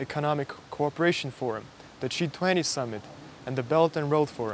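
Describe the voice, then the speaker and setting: At a fairly quick pace, the speech sounds dry with no echo while music plays in the background. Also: man. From Russia. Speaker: university student. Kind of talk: personal story narration. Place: garden. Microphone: lapel.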